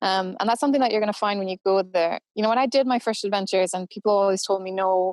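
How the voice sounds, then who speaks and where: Delivered at a very fast pace with ordinary pitch variation, the voice sounds dry and close with no echo. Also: woman. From Canada. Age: 30s. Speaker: endurance runner and adventurer. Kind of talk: podcast interview.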